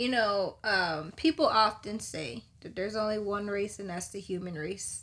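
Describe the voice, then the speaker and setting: A woman with a plain, everyday voice and medium pitch speaks at a moderate pace with lively intonation, hardly any pauses and big swings in loudness. The recording is very clean, with a silent background. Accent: American. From US suburbs. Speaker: podcast co-host. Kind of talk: casual chat.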